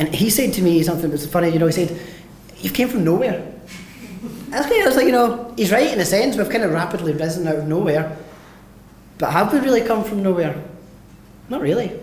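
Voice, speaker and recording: Talking at a very fast pace yet with long, frequent pauses, a man speaks high in pitch with lively intonation, amid audible room echo and noticeable background noise. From west of Scotland, Mossend, Lanarkshire. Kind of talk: conference talk.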